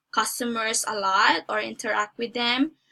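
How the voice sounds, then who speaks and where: A woman talks at a fairly slow pace. Her fairly high voice has a bright, sharp tone. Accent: Filipino. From Philippines. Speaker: job applicant. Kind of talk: mock job interview. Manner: halting.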